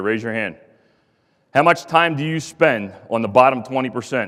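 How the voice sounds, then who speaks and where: A man with a Philadelphia accent at a very fast pace. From US Northeast, Philadelphia. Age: 40s. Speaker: contractor executive, former pipefitter apprentice. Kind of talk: conference speech. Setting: stage with audience. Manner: animated.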